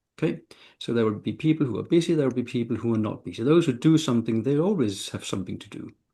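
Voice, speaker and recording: Talking at a very fast pace, a man has a dark, mellow tone, medium pitch and lively intonation. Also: big swings in loudness, quiet background. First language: not English. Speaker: panelist, translator and interpreter. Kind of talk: panel discussion.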